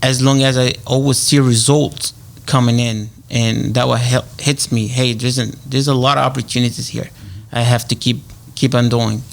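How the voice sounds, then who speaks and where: At a moderate pace, a man speaks with a medium pitch. His intonation is flat and monotone. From Egypt. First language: Arabic. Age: 30s. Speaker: realtor. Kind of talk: radio interview. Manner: halting, many fillers.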